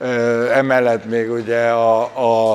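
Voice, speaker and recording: Monotone and flat in intonation, a man speaks at a medium pitch. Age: 70s. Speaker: event organizer. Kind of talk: interview. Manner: hesitant, many fillers.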